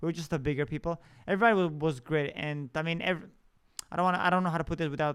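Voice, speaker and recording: With a non-native accent, a man speaks using ordinary pitch variation. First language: not English. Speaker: podcast host. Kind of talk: personal storytelling monologue. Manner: halting, many fillers and restarts.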